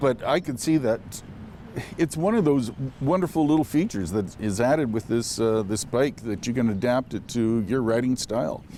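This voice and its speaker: A man speaks at a moderate pace. His medium-pitched voice has lively intonation. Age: 60s. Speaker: charity auction winner test rider. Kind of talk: interview about a test ride. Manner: hesitant, many fillers.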